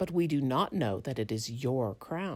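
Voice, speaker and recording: A put-on character voice sits at a low-to-middle pitch. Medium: read story. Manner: prim, sniffy.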